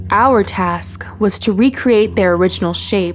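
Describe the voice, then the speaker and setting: There is music in the background. Over it, a woman speaks at a moderate pace. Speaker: horror story narrator. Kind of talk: horror story narration.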